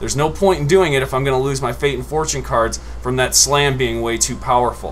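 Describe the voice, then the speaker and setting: A man is talking in a room with audible echo. Music plays in the background. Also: fairly quick pace. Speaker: gaming YouTuber. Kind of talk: gameplay commentary. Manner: loud; animated.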